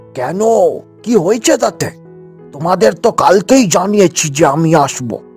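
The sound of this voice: A man does a cartoonish character voice, pitched high with very wide pitch swings. He keeps a moderate pace over faint background music.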